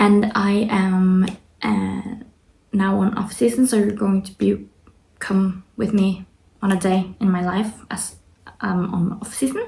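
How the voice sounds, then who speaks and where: A woman's somewhat breathy voice with a non-native accent, fairly slow pace, fairly even intonation and long, frequent pauses. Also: medium pitch for a woman. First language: not English. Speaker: fitness athlete vlogger. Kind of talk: casual vlog. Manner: halting.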